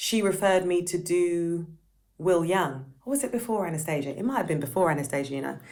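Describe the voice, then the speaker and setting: Audible room echo surrounds a woman's fairly low voice. She talks at a fairly quick pace with lively intonation. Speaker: session singer. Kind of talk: casual chat. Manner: loud; animated.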